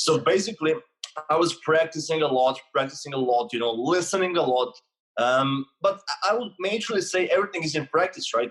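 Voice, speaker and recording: A man speaks at a fairly quick pace. His voice is fairly high-pitched with lively intonation. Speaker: mindset coach. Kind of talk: casual podcast interview.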